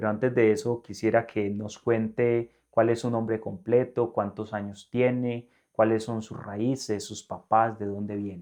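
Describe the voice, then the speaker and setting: A man with a medium pitch speaks at a fairly slow pace in a monotone, flat intonation, his loudness swinging widely against a quiet background. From Colombia, northern Valle del Cauca. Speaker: religious presenter. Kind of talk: interview.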